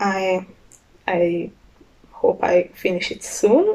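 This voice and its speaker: Her voice has a dark, mellow tone, and the woman speaks with a strong non-native accent. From Hungary. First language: Hungarian. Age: young. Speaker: knitter, student. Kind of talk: casual podcast talk. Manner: hesitant, many fillers.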